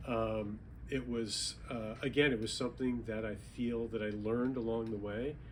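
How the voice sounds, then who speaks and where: Amid audible room echo, a man speaks at a medium pitch with monotone, flat intonation. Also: moderate pace. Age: 60s. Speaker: author, retired banking executive. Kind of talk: book talk interview. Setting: bookstore event with audience.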